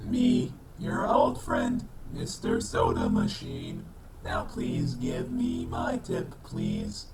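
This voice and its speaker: A man's put-on character voice, high-pitched, at a very slow pace over clear background noise. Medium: comedy sketch. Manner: formal, stiff, no contractions.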